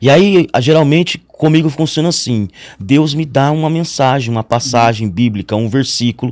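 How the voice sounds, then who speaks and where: A man speaks in an ordinary speaking voice, his fairly high pitch rising and falling with lively intonation at a moderate pace. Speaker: pastor. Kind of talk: interview.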